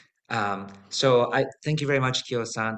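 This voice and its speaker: A man is speaking. He has a Japanese accent. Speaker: Zen priest hosting a talk. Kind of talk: online talk introduction.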